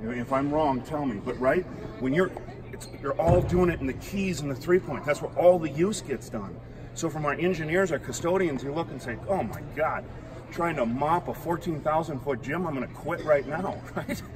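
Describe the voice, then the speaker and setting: Background noise is noticeable here. Over it, a man talks at a moderate pace. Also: ordinary pitch variation. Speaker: floor maintenance instructor. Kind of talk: tutorial. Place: hall. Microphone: camera far.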